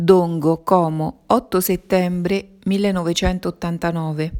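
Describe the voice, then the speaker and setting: A woman speaks with monotone, flat intonation. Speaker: reader of religious messages.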